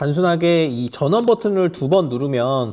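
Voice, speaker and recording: Recorded very cleanly against a silent background, a man with a dark, mellow tone talks at a moderate pace with lively intonation. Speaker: tech reviewer. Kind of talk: product review. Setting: outdoors beside a busy road. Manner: loud, raised voice over noise.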